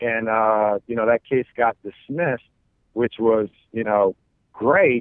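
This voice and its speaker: Speaking at a fairly slow pace, a man with a plain, everyday voice uses a medium pitch and an American accent. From New York City (Queens). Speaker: pastor. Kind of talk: interview.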